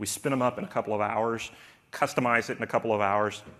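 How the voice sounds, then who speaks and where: A man's medium-pitched voice moves at a fairly quick pace. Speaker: cloud solution architect. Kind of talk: conference talk. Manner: fast; animated.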